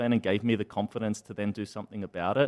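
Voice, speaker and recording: In an Australian accent, a man speaks with a fairly low pitch and monotone, flat intonation. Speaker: startup founder and CEO. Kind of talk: interview. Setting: studio.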